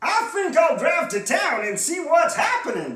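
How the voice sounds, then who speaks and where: A woman performs a put-on character voice at an extremely high pitch. There is a slight echo. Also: moderate pace. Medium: read story. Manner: folksy, drawling.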